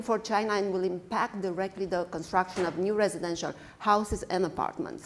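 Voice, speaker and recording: Medium-pitched female speech at a moderate pace, intonation fairly even. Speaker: construction executive. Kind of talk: panel discussion. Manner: hesitant, many fillers.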